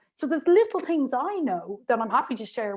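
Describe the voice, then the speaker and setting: In an Irish accent, the speaker uses lively intonation on a very clean recording with a silent background. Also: woman. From Ireland. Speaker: remote work specialist and lecturer. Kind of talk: interview. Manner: fast.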